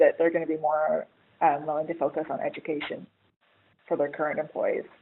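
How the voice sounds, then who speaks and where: This woman has an American accent. Her voice sits fairly low. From United States. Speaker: HR writer. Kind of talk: webinar panel discussion. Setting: webinar.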